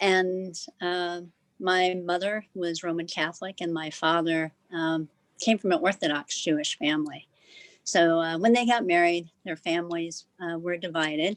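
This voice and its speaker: A woman speaks in an American accent at a moderate pace. Her pitch is fairly low and her intonation fairly even. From US Midwest, South Omaha, Nebraska. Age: 60s. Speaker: panelist. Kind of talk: panel discussion.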